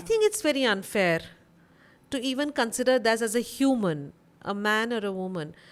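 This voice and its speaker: With a plain, everyday voice, a woman speaks at a moderate pace and a fairly high pitch with lively intonation, in a very clean recording with a silent background. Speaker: podcast guest, freelance consultant and mental health advocate. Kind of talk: podcast interview answer.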